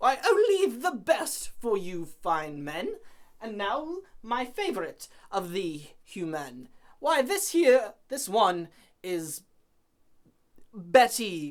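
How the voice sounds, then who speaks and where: In a put-on character voice, a woman speaks sing-song at a very slow pace and fairly high pitch, with very wide pitch swings and long, frequent pauses. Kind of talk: comic overacting. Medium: stage play. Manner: sing-song, rhyming, archaic.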